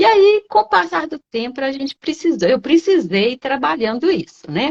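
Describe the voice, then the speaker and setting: A woman speaks at a moderate pace with a high pitch. Her voice swings very widely in pitch. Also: dry, close sound with no echo. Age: 60s. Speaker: occupational nurse, investing student. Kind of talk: live-stream interview. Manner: halting, many fillers.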